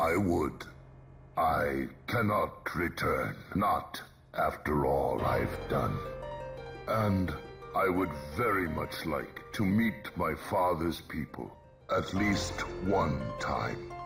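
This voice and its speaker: Over clear music in the background, a man does a put-on character voice at a very slow pace with long, frequent pauses. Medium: machinima. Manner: quiet, restrained.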